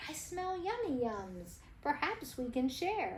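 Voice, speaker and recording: Doing a put-on character voice at a high pitch, a woman speaks at a fairly slow pace over clear background noise. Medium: read story.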